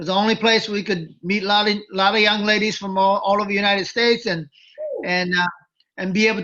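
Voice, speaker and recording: A man speaks in a raised, projected voice at a very fast pace. His pitch is high, with fairly even intonation. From Japan, Tokyo. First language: Japanese. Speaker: former wrestling manager. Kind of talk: interview. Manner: halting.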